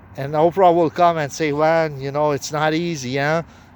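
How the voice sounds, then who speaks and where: Over noticeable background noise, a man speaks. His pitch variation is ordinary. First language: not English. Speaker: self-proclaimed prophet. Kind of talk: religious monologue. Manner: halting.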